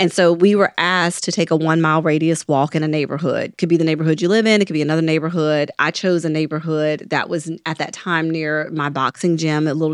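A woman with a very deep, low pitch talks at a very fast pace with hardly any pauses. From Mississippi. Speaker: physician and podcast co-host. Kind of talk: casual discussion.

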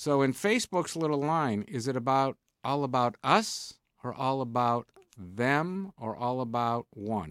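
In a very clean recording with a silent background and a dry, close sound with no echo, a man with a plain, everyday voice and medium pitch talks at a fairly slow pace with lively intonation. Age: 60s. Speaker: radio co-host. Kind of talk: casual banter on a radio business show. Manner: bantering, interrupting.

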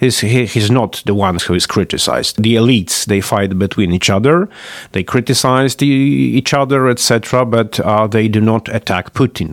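A man with a Polish accent and lively intonation, in dry, close sound with no echo. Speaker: political analyst. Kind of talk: interview. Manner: halting, many fillers.

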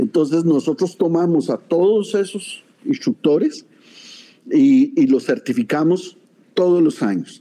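At a fairly slow pace, a man speaks at a high pitch in a dark, mellow tone. His pitch swings very widely while his loudness stays very even. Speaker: martial arts master. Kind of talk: interview.

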